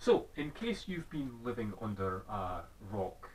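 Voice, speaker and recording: A man talks in a Scottish accent with a somewhat breathy voice. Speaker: video blogger. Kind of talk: casual vlog commentary.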